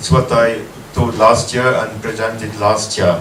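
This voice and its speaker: A man is speaking. The room echo is audible, and there is noticeable background noise. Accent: non-native. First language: not English. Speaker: conference speaker, researcher. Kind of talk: conference presentation. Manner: slow; halting, many fillers.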